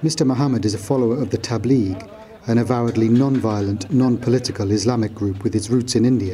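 The speech runs at a very fast pace with very even loudness and fairly even intonation. Noticeable background noise sits behind it. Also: man, medium pitch for a man. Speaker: news correspondent. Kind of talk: news report narration.

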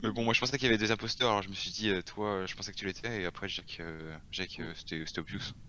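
Very fast and with hardly any pauses, a man talks in a fairly low voice. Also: ordinary pitch variation. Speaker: gamer. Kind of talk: casual game chat. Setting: voice chat.

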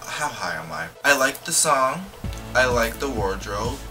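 Clear music plays behind a man as he speaks. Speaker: video blogger. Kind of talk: casual music video reaction chat. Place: home room. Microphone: phone near.

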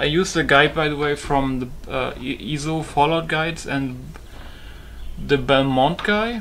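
In a German accent, a man with a fairly high pitch speaks at a fairly slow pace. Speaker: gaming YouTuber and modder. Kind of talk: gameplay commentary. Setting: home recording at PC. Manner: casual, profane.

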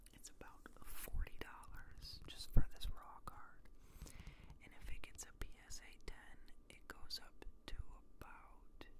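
A man whispers in a relaxed tone at a fairly slow pace. His loudness swings widely, with long, frequent pauses. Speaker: ASMR creator. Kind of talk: ASMR talk to camera. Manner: soft-spoken, relaxed. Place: home room. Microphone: studio mic.

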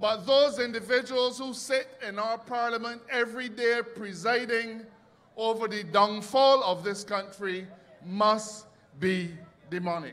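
Over noticeable background noise, a man with a Barbadian accent speaks high in pitch at a fairly slow pace, with ordinary pitch variation. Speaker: politician. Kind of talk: political rally speech. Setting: outdoor stage with audience.

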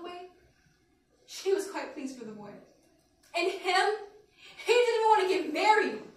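This woman's voice is extremely high in pitch and moves at a fairly quick pace. Her loudness swings a lot, and room echo is audible. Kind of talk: dramatic monologue performance. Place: classroom. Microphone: camera far.

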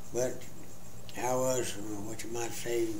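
There is light background noise and audible room echo. A man is speaking. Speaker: father telling life stories. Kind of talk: interview answer. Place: home room. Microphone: camera far.

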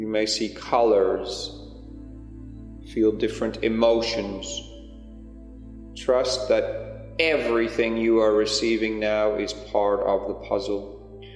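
Music plays in the background as someone speaks in a gentle tone at a very slow pace, with long, frequent pauses. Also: man. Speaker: meditation guide, spiritual channel. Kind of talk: guided meditation. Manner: slow, gentle, calming.

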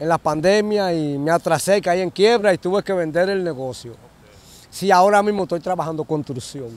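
The speaker has a strong Dominican accent and a moderate pace. Pitch variation is ordinary, and the sound is dry with no echo. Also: man. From Dominican Republic. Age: 50s. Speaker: interviewee. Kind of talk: interview answer. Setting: outdoors, next to a bridge. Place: open country. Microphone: handheld.

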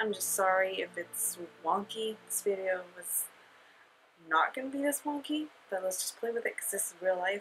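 Quiet speech with lively intonation comes through over light background noise. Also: woman, moderate pace. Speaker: beauty vlogger. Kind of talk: makeup review vlog. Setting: at home, sleeping baby in room. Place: home room.

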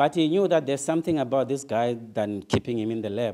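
A man with a dark, mellow tone and fairly high pitch talks at a fairly quick pace with ordinary pitch variation. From South Africa, Soweto. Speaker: motivational speaker. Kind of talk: motivational talk. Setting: stage with audience. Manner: animated.

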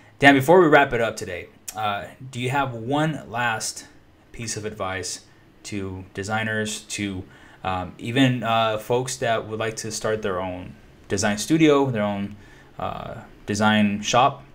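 A man with a medium-pitched voice speaks at a fairly slow pace, with ordinary pitch variation, big swings in loudness, and long, frequent pauses. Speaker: podcast host. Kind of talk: interview. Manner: enthusiastic. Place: home room.

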